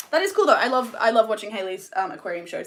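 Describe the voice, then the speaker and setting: Speaking with an Australian accent, a woman uses a fairly high pitch with very wide pitch swings. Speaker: mermaid tail maker and streamer. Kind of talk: casual live stream chat while crafting. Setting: live stream. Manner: rambling, hesitant with many ums.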